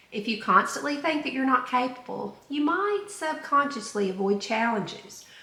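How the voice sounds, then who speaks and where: A woman's high-pitched, raised, projected voice with very wide pitch swings at a moderate pace, over noticeable background noise. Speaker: self-help podcaster. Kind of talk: self-help podcast monologue. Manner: conversational, reflective.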